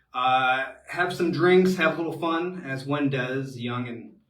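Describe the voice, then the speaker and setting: Amid audible room echo, a man with an American accent speaks at a fairly high pitch in a bright, sharp tone with ordinary pitch variation. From US Midwest, Cincinnati, Ohio. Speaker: expat advisor, webinar host. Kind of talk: live webinar Q&A. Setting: live online webinar from home. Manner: many filler words, halting.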